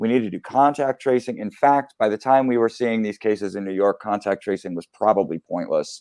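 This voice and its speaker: In a plain, everyday voice with an American accent, a man speaks at a fairly quick pace and medium pitch, with ordinary pitch variation, hardly any pauses, a quiet background and a dry, close sound with no echo. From US Northeast, Philadelphia. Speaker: journalist and author. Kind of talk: interview.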